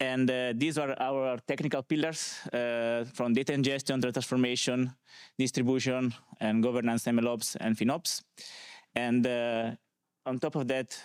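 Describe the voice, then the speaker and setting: The speaker is a man with an Italian accent. He uses a medium pitch at a moderate pace. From Italy, small village. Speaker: conference speaker, data consultant. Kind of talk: conference talk. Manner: hesitant, many fillers.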